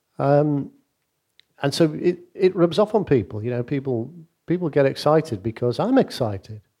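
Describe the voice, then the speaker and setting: Lively intonation from a man with a Mancunian accent and a dark, mellow tone, at a moderate pace in a very clean recording with a silent background. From Manchester, northern England. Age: 60s. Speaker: business leader and former CEO. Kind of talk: interview on stage.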